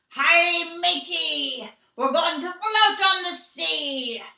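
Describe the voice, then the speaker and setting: Someone puts on a character voice with an extremely high pitch. The pace is very slow. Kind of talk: child-directed, instructional. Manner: jolly, playful.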